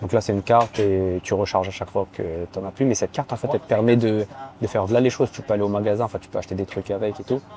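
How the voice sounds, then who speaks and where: A very fast male voice, fairly low in pitch, with fairly even intonation. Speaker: judoka and vlogger. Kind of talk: casual vlog.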